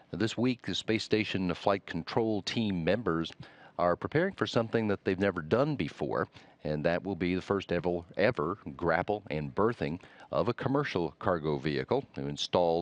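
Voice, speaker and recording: Lively in intonation, a man with a very deep, low voice speaks at a moderate pace, the sound dry and close with no echo. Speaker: NASA public affairs commentator. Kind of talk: interview host questions.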